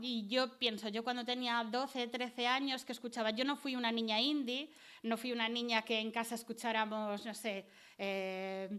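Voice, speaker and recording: A woman speaks at a high pitch with a bright, sharp tone. Her pace is moderate. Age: 40s. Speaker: cultural researcher. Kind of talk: public talk.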